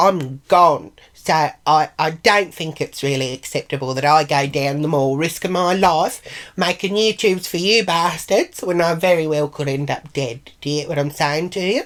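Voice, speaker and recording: A woman with a strong Australian accent speaks at a moderate pace in a very deep, low voice. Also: ordinary pitch variation, hardly any pauses. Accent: broad Australian. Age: 60s. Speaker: vlogger. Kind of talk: casual vlog monologue.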